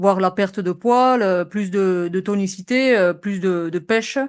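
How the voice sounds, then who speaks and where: The woman's medium-pitched voice keeps fairly even intonation against a quiet background. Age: 30s. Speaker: municipal police officer, coaching client. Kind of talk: testimonial interview. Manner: hesitant, many fillers.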